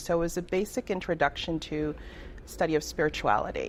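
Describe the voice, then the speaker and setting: This woman has an unremarkable speaking voice, a fairly low pitch and a moderate pace. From Toronto, Canada (born in Trinidad). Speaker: reverend and life coach. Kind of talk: radio interview.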